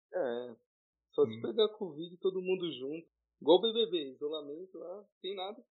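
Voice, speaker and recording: In a high voice and at a moderate pace, a man talks with lively intonation and big swings in loudness. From São Paulo city, East Zone. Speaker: podcast co-host, pre-university student. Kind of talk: casual chat.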